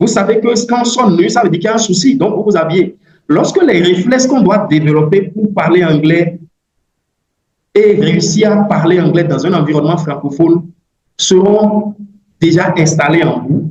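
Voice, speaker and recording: A man's high-pitched voice, ordinary pitch variation, very even loudness and long, frequent pauses. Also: moderate pace. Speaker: English language coach. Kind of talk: online webinar talk. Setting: video call. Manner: hesitant with fillers and repetitions.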